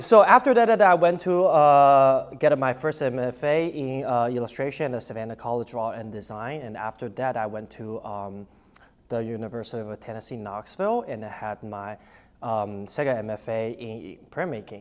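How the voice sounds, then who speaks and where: A man at a moderate pace in a Chinese accent, with big swings in loudness. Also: medium pitch for a man, ordinary pitch variation. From Taiwan, then Shanghai, China. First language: Mandarin Chinese. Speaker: artist and art professor. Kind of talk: short artist talk, partly read aloud. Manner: halting, many fillers.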